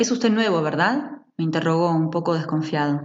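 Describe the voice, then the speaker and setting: A woman with a fairly low voice talks at a moderate speed, her pitch rising and falling in an ordinary way. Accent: Argentine. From Argentina. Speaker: audiobook narrator. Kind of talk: literary short story reading.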